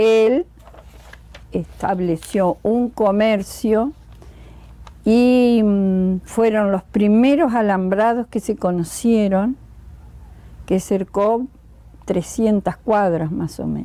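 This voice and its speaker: With long, frequent pauses and a very slow pace, a woman speaks in a fairly high pitch with a dark, mellow tone and ordinary pitch variation. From Argentina, Entre Ríos (Nogoyá). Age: 80s+. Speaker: retired teacher, local elder. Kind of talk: oral history interview.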